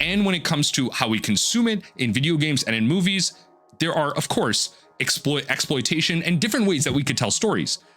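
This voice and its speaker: Over music in the background, a man with a fairly high pitch talks at a fairly quick pace, his pitch swinging very widely while his loudness stays very even. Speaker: gaming and card game commentator. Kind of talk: opinion monologue. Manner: halting, with fillers.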